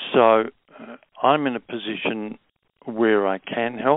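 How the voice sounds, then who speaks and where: Fairly slow speech in an Australian accent. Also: man. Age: 70s. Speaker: naturopath. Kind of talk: interview. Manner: halting.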